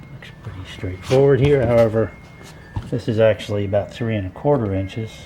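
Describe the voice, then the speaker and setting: A man mumbles at a fairly low pitch with ordinary pitch variation while faint music plays behind him. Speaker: DIY home repairer. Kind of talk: casual DIY narration while working. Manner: mumbling, rambling. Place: home room. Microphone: phone near.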